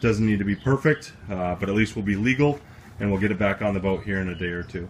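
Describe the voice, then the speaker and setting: Over light background noise, a man with a fairly low pitch and ordinary pitch variation speaks in an ordinary speaking voice. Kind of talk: casual vlog chat. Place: open country. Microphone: phone near.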